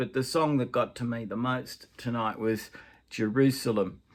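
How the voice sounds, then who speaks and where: A man speaks at a fairly slow pace in a medium pitch with a monotone, flat delivery, captured in a very clean recording against a silent background. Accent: Australian. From Australia. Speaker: grandfather. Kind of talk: casual talk to camera.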